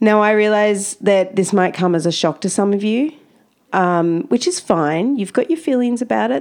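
A woman in an Australian accent swings her pitch very widely against a quiet background. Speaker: camel educator and podcast host. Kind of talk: casual monologue. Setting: home office on farm. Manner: animated.

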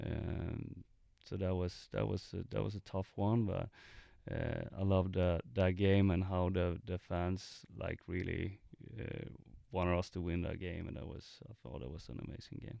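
A man speaks with a Swedish accent at a fairly slow pace, his pitch very deep and low. His pitch varies in an ordinary way, and the background is quiet. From Sweden, Gothenburg. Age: 30s. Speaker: professional soccer player. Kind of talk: interview. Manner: halting, many fillers and repetitions.

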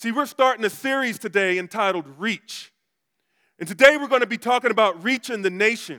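A raised, projected voice with a bright, sharp tone and ordinary pitch variation comes through dry and close, without echo, on a very clean recording with a silent background. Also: man. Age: 40s. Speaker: pastor. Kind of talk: sermon.

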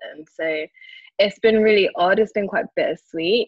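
A woman with a South London accent talks at a fairly quick pace. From London, Brixton. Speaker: digital product owner in investment management. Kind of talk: podcast interview. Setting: remote call from Dubai.

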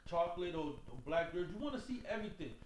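A man talks at a very fast pace, his pitch swinging very widely. Noticeable background noise runs underneath. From New York, the Bronx. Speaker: nightlife promoter. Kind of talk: casual chat.

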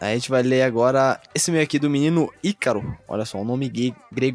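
Noticeable background noise sits behind a man speaking at a medium pitch with ordinary variation. He moves at a fairly quick pace with hardly any pauses. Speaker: podcast host. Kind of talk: casual chat.

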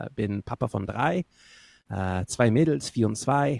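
On a very clean recording with a silent background and a dry, close sound with no echo, a man with an English accent speaks very slowly at a medium pitch in a dark, mellow tone with ordinary pitch variation. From northern England. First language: English (speaking German). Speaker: singer-songwriter. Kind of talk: casual chat.

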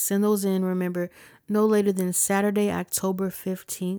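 On a very clean recording with a silent background and a dry, close sound with no echo, a woman with an American accent and a dark, mellow tone speaks at a medium pitch and moderate pace in a monotone, flat intonation. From Ohio, US. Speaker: podcast host, musician and producer. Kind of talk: casual podcast monologue.

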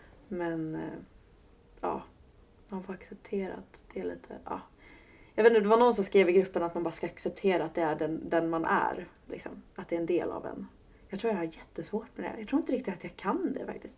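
Her loudness swings widely as a woman with a medium pitch and vocal fry talks at a fairly quick pace. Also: ordinary pitch variation. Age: 20s. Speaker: podcast guest living with PMDS. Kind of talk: personal testimony interview.

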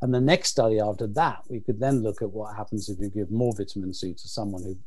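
A man's somewhat breathy, fairly low voice at a fairly quick pace. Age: 60s. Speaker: nutrition researcher. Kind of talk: interview.

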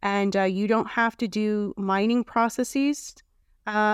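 In a very clean recording with a silent background and a dry, close sound with no echo, a woman with a normal speaking voice talks at a medium pitch, a fairly slow pace and fairly even intonation. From Canada. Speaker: foundation president and writer. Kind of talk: podcast interview.

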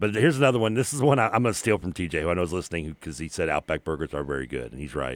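In a very clean, dry and close recording with a silent background and no echo, a man with a very deep, low pitch and vocal fry talks very fast with very wide pitch swings. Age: 40s. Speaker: sports radio co-host. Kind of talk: sports talk radio chat. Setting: radio studio.

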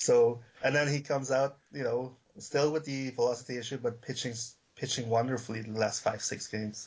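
This voice is somewhat breathy, with fairly even intonation. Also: man, medium pitch for a man. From Aruba. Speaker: guest co-host. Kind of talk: casual chat.

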